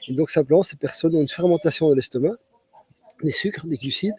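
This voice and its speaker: Recorded dry and close with no echo, a man speaks at a fairly high pitch with ordinary pitch variation. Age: 60s. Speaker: physician. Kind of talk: interview. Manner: halting, many repetitions.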